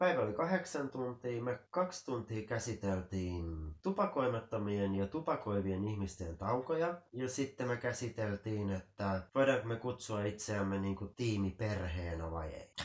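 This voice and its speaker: Using a plain, everyday voice, a man talks at a fairly slow pace and fairly low pitch with lively intonation and hardly any pauses. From Finland, Helsinki. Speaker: Finnish emigrant interviewee. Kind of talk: casual chat.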